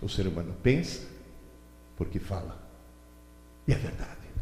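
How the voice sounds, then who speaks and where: With audible room echo in the recording, a man speaks at a moderate pace. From Italy. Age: 70s. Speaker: educator and lecturer. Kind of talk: lecture. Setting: stage with audience. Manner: animated.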